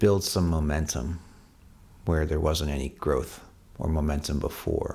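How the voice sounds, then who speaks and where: A man with a Canadian accent speaks in a very deep, low voice with a dark, mellow tone and vocal fry. His intonation is fairly even, with long, frequent pauses. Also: fairly slow pace. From Canada. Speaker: songwriter. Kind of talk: casual talk to camera. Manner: casual, with fillers and restarts.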